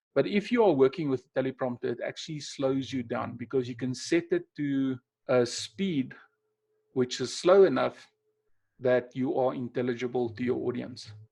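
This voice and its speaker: Speaking in a South African accent, a man keeps a medium pitch, ordinary pitch variation, and a moderate pace. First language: Afrikaans. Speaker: webinar presenter, NLP trainer. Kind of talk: webinar presentation. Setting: online webinar. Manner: unscripted, conversational with hesitations.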